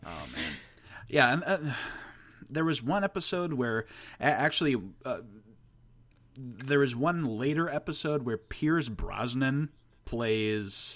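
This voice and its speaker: On a very clean recording with a silent background, a man with a fairly high pitch speaks at a very slow pace with lively intonation and long, frequent pauses. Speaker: podcast guest. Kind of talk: casual chat.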